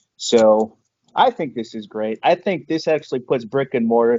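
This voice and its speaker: Moderate in pace with ordinary pitch variation, this is an unremarkable speaking voice. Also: man. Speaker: stock trader guest. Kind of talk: casual screen-share discussion.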